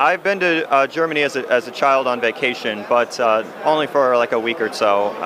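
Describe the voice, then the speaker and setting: Against noticeable background noise, a man speaks at a moderate pace and medium pitch with ordinary pitch variation. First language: English (speaking German). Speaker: board game designer. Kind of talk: interview. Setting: trade fair booth. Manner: halting.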